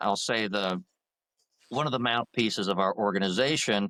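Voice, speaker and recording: Bright and sharp in tone, a voice with a Southern accent moves at a moderate pace with lively intonation, recorded very cleanly against a silent background with a dry, close sound and no echo. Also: man. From Georgia, US South. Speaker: attorney and veterans' advocacy group president. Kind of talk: interview. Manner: talkative, long-winded.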